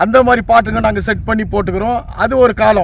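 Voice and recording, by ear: A man talks at a fast pace in a high pitch, with ordinary pitch variation.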